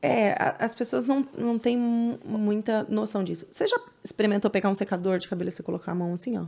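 At a fairly quick pace with hardly any pauses, a woman with a fairly high pitch speaks over noticeable background noise. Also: ordinary pitch variation. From São Paulo, East Zone (Penha). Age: 30s. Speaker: hairdresser. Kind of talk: casual interview chat.

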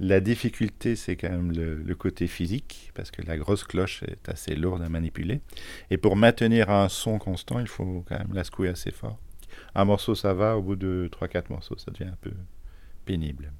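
The man's voice sits very deep and low. He keeps a moderate pace. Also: ordinary pitch variation. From Belgium, Charleroi. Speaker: multi-instrumentalist musician. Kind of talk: interview testimony.

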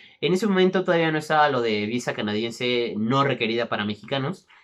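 With an unremarkable speaking voice, a man talks at a moderate pace, his pitch fairly high and his intonation lively. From Mexico City. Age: 20s. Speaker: gaming youtuber. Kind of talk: casual personal storytelling monologue.

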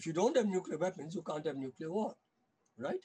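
A man speaks in a dark, mellow tone that comes out somewhat breathy. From India. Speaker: scholar and anti-nuclear weapons activist. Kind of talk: podcast interview.

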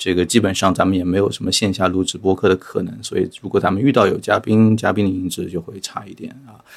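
Very fast and with hardly any pauses, a man with a very deep, low voice speaks with fairly even intonation while his loudness swings widely. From Shanghai. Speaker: podcast host and education entrepreneur. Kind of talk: casual interview chat.

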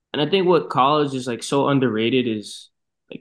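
A man talks at a fairly quick pace with an American accent, in a plain, everyday voice. His pitch is medium, and the background is quiet. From Boston, US. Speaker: marketing professional and designer. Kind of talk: casual interview.

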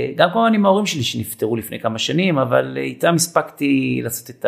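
Here a man speaks at a moderate pace. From Israel, kibbutz. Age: 50s. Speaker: fitness trainer. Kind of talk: casual interview. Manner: hesitant fillers.

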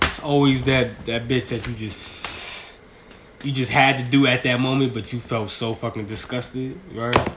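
A man at medium pitch and moderate pace, over noticeable background noise. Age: 20s. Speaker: podcaster. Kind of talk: casual monologue. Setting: at home. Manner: animated.

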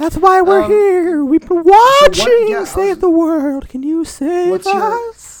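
A put-on character voice at an extremely high pitch moves at a very slow pace. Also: hardly any pauses. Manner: spooky, ghostly.

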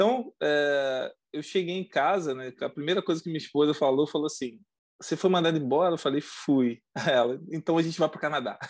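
Against a quiet background, a man with an unremarkable speaking voice and a fairly high pitch talks at a fairly quick pace with ordinary pitch variation. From Brazil, coastal region. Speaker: former oil industry worker, immigrant. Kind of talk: casual interview. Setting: video call.

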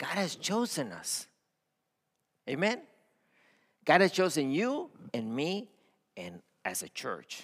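On a very clean recording with a silent background, a man with a Spanish accent speaks very slowly in a high pitch, with very wide pitch swings and long, frequent pauses. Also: big swings in loudness. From Mexico-Texas border (Matamoros/Brownsville). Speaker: pastor, missions leader. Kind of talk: sermon. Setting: church.

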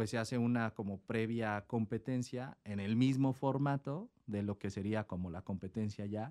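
On a very clean recording with a silent background, a man with an unremarkable speaking voice talks at a fairly slow pace and medium pitch, with ordinary pitch variation and a dry, close sound with no echo. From Mexico City. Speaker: chef. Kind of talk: casual chat.

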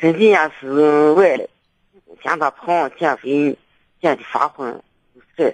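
In a dry, close recording with no echo, a man with a fairly high voice and ordinary pitch variation speaks very slowly, leaving long, frequent pauses. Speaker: caller. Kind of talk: phone call-in advice. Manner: halting.

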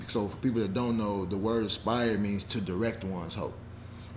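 A man with a fairly low, somewhat breathy voice and fairly even intonation talks at a fairly quick pace amid audible room echo. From Nashville, Tennessee (partly Chicago). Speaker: education entrepreneur. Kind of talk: casual interview.

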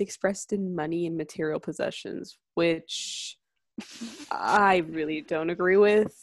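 A woman with an ordinary speaking voice talks fairly slowly at medium pitch with ordinary pitch variation, on a very clean recording with a silent background. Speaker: podcast host. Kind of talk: casual chat.

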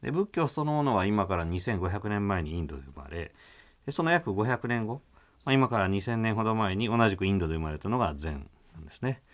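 Moving at a fairly quick pace, a man with a fairly low voice makes very wide pitch swings. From Kyoto. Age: 40s. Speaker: Zen Buddhist priest. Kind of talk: radio interview. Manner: polite formal.

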